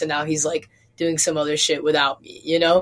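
A woman speaks at a moderate pace with a fairly low pitch in an ordinary speaking voice. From US Midwest. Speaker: podcast co-host. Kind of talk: interview.

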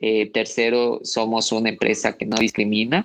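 With an unremarkable speaking voice, this man talks at a medium pitch and a moderate pace. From Loja, Ecuador. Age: young. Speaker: social entrepreneur. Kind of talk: radio interview.

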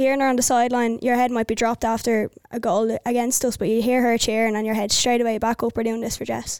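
A woman with an Irish accent speaks very fast in a fairly high pitch with monotone, flat intonation. The sound is dry and close with no echo, on a very clean recording with a silent background. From Ireland, County Wicklow. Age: 20s. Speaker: army officer and soccer player. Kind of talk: casual interview.

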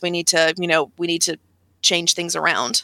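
A woman's fairly low, bright and sharp voice at a fairly quick pace, with a dry, close sound and no echo. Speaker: games journalist. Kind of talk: casual chat. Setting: video call. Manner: a little stiff.

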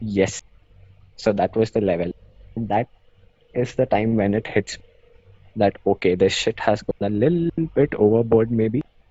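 At a moderate pace with long, frequent pauses, a man talks at medium pitch with ordinary pitch variation. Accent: Indian. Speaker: law student guest. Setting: video call.

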